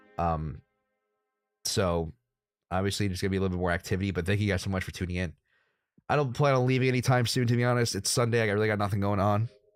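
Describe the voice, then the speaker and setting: Over music in the background, a man with an American accent talks at a very fast pace in a fairly low voice with ordinary pitch variation. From United States. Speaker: crypto trading streamer. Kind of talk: casual live stream chat. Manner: casual, filler-heavy.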